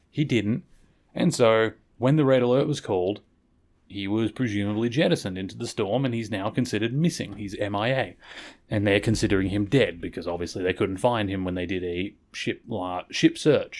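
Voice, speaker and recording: A man talks at a fairly quick pace in a fairly low pitch with ordinary pitch variation, on a very clean recording with a silent background. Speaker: podcast host. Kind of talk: podcast episode review monologue. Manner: stumbles over words; casual conversational.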